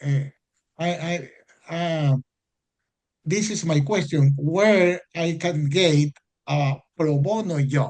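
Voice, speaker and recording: The speaker talks at a very slow pace with long, frequent pauses. Pitch varies in an ordinary way. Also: man, fairly high pitch for a man. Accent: Spanish. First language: Spanish. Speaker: foreign law graduate. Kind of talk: audience Q&A in webinar. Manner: halting.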